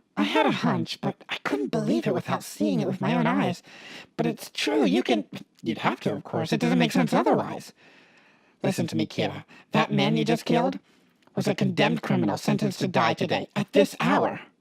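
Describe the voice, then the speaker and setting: A man's put-on character voice, very deep and low in pitch, at a fairly quick pace, with a dry, close sound and no echo. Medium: audio drama. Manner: measured, analytical.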